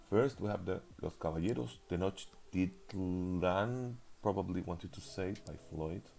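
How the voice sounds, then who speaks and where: A man's very deep, low voice with a dark, mellow tone, a non-native accent, ordinary pitch variation and a fairly slow pace. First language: not English. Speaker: league recap commentator. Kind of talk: casual game preview commentary. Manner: hesitant, with fillers.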